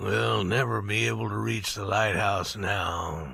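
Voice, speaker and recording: A man puts on a raspy character voice, pitched very deep and low. He moves at a fairly slow pace with very wide pitch swings. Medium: read story. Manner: low, calm.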